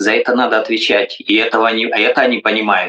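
At a fairly slow pace, a man speaks in a dry, close sound with no echo. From Russia or former USSR. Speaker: politician. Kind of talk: interview.

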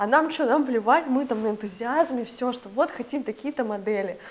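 Her pitch is fairly high and her intonation lively. The woman keeps to a moderate pace. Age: 20s. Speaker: clothing brand co-founder. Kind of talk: casual interview. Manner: animated.

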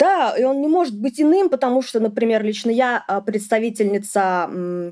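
The voice has a dark, mellow tone. It keeps a moderate pace. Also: woman. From Ufa, Bashkortostan. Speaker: feminist activist and podcaster. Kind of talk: interview.

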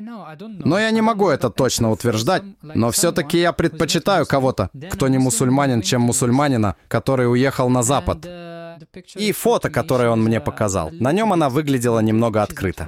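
The man's voice sits at a medium pitch but moves in very wide pitch swings. He keeps a moderate pace and very even loudness. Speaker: host's husband. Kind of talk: interview.

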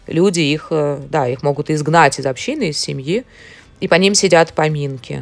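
This woman has a very deep, low voice and ordinary pitch variation. She speaks at a moderate pace. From Moscow, Russia. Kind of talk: interview.

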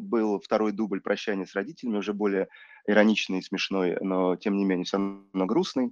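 Speaking at a fairly quick pace and a fairly low pitch, a man with an ordinary speaking voice shows big swings in loudness in a dry, close sound with no echo. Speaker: film director. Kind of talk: casual interview.

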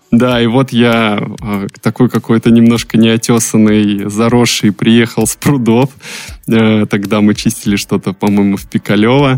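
The sound is dry and close with no echo as a man speaks at a medium pitch. He talks fairly slowly in a monotone, flat intonation. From Russia, Saint Petersburg. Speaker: podcast producer, former car salesman. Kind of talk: casual chat.

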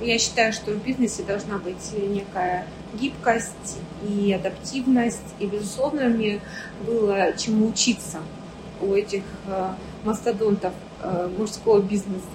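Against noticeable background noise, a woman at medium pitch speaks at a fairly slow pace with fairly even intonation and long, frequent pauses. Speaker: entrepreneur, factory owner. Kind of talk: interview.

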